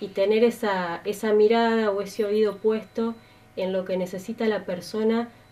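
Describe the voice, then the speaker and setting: Noticeable background noise surrounds a woman speaking at medium pitch with fairly even intonation. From Argentina, Santa Fe province. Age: 30s. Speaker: political candidate; candidate. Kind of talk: interview. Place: studio.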